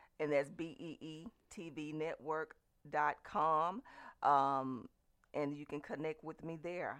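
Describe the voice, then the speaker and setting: A woman speaks at a very slow pace with a very deep, low pitch. Her pitch variation is ordinary, and her loudness swings widely. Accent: Southern US. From US South, LaGrange, Georgia. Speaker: television station owner. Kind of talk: radio interview.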